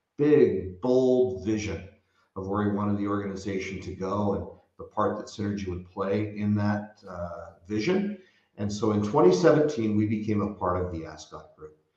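Audible room echo surrounds a man with an American accent who speaks at a moderate pace in a fairly low pitch, with ordinary pitch variation and big swings in loudness. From US West Coast (San Francisco Bay Area). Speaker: hospitality company co-founder. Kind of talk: interview conversation.

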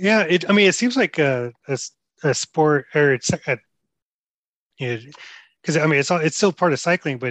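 Over a quiet background, a man talks at a moderate pace with lively intonation in a dry, close sound with no echo. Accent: Texan. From Houston, Texas. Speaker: cycling podcast host. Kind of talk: casual interview chat; scripted announcements. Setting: outdoors at a ride. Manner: halting, many fillers.

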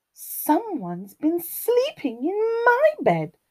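This female-sounding put-on character voice is extremely high in pitch. It moves at a very slow pace.

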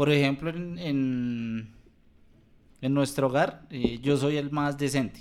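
A man's fairly high voice, fairly even in intonation, at a very slow pace. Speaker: podcast co-host. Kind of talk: casual chat. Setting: handheld microphone.

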